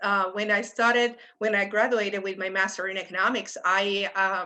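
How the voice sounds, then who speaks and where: A woman with a Puerto Rican accent, bright and sharp in tone, at a fairly slow pace with fairly even intonation against a quiet background. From Puerto Rico, San Juan. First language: Spanish. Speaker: economics professor. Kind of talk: panel discussion.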